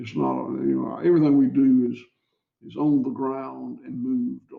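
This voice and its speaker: A man with a Southern US accent talks at a moderate pace. His loudness swings widely. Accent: Southern US (Georgia). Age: 60s. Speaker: cattle farmer. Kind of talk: interview. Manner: halting, many repeated words.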